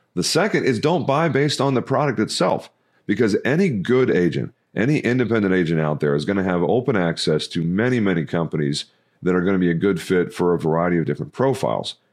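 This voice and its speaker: A man speaks at a very fast pace, with very wide pitch swings. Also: fairly low pitch for a man. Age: 30s. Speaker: insurance agency CEO. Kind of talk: podcast interview. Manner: frequent filler words.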